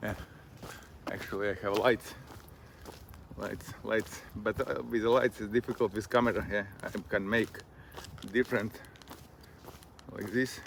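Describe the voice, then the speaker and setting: A man speaks in a Latvian accent at a moderate pace. His intonation is monotone and flat, broken by long, frequent pauses. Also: medium pitch for a man. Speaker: vlogger. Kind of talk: casual monologue while walking. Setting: outdoors on a walk. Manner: halting.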